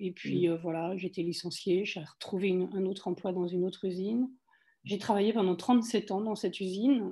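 Here a woman's tone is dark and mellow. Her intonation is fairly even. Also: medium pitch for a woman, moderate pace. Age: 60s. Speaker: wellness cooperative founder. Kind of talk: casual interview.

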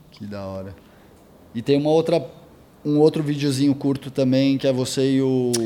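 A man's fairly high voice with a dark, mellow tone, ordinary pitch variation, big swings in loudness, a moderate pace and long, frequent pauses. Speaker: skate magazine interviewer. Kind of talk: interview.

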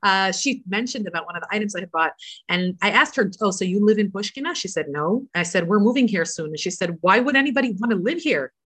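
With a Canadian accent, a woman talks at a very fast pace with hardly any pauses over a quiet background. Her voice sits at a medium pitch with lively intonation. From Toronto, Canada. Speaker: rebbetzin and religious emissary. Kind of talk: casual interview.

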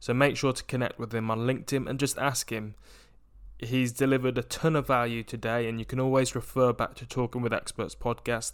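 Speaking fairly quickly with an English Midlands accent, a man holds a medium pitch in a monotone, flat intonation. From England, Coventry area. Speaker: podcast host. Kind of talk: interview podcast hosting.

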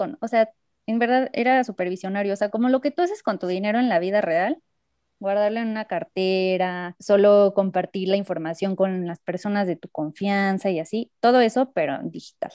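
A woman's dark, mellow voice at a medium pitch and moderate pace, with ordinary pitch variation, in a dry, close sound with no echo. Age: 20s. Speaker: biotechnology engineering student. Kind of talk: casual improvised chat.

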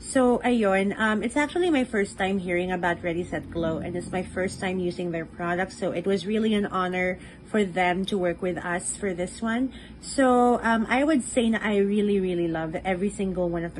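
Over noticeable background noise, a woman talks at a moderate pace with hardly any pauses, a medium pitch and ordinary pitch variation. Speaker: podcast co-host. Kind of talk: casual chat with makeup review. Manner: animated.

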